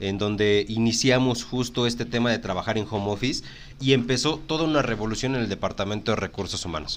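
With a Mexican accent, a man talks at a fairly quick pace and medium pitch with ordinary pitch variation. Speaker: podcast host, human resources professional. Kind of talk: casual chat.

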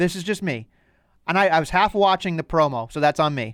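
Lively intonation from a man with a slight Boston accent at a fairly quick pace, dry, close sound with no echo, very clean recording and silent background. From Boston North Shore, US. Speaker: wrestling podcast host. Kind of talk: casual chat.

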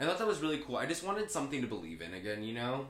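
Vocal fry from a man, very wide pitch swings, and audible room echo. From Southern California. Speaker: actor. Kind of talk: casual chat.

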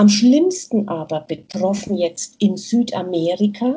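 A somewhat breathy woman at medium pitch, very slow pace, and ordinary pitch variation. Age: 50s. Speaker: nurse and aid worker. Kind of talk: interview. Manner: hesitant, many fillers.

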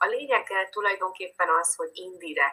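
A woman speaks at a moderate pace. Behind her, music plays in the background. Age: 40s. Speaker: dance teacher and relationship coach. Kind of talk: interview.

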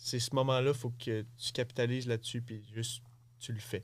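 His intonation monotone and flat, a man holds a medium pitch. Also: very clean recording, silent background. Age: 20s. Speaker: bull rider and coach. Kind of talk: interview. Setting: studio.

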